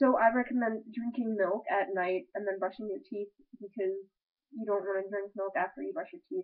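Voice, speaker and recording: A woman talks at a fairly quick pace. She has an ordinary speaking voice at medium pitch with ordinary pitch variation. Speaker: vlogger giving advice. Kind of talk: casual webcam monologue.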